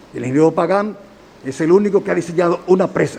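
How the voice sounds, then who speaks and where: A man with a Dominican accent talks at a fairly quick pace over noticeable background noise. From Dominican Republic, Santiago. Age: 70s. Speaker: engineer, defendant in court hearing. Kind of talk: court testimony. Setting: courtroom hearing.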